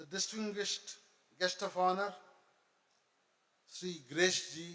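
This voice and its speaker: A man uses a raised, projected voice with a bright, sharp tone and high pitch. His delivery is very slow and flat in a monotone. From India. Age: 70s. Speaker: college chairman. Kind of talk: formal speech.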